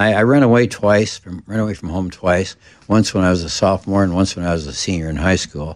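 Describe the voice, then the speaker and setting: A very deep, low-pitched man with an American accent, at a very fast pace with ordinary pitch variation. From US Midwest (South Dakota). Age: 80s. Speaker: comedian and musician. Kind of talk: casual interview storytelling.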